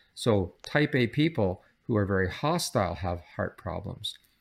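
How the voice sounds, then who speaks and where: A man with a Canadian accent has an ordinary speaking voice at a fairly low pitch and lively intonation. The recording is very clean with a silent background. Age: 60s. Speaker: psychology professor. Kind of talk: interview.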